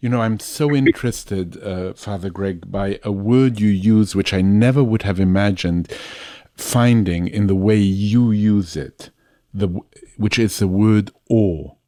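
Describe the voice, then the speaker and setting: A dark, mellow tone with a non-native accent, a fairly slow pace and ordinary pitch variation. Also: man, fairly low pitch for a man. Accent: noticeable foreign. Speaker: podcast interviewer. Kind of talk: interview conversation. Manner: repeats and stammers words.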